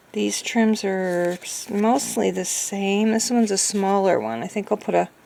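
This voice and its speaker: Fairly slow and fairly even in intonation, a woman speaks at medium pitch through noticeable background noise. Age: 60s. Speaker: craft vlogger. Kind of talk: tutorial; casual chat. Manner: halting.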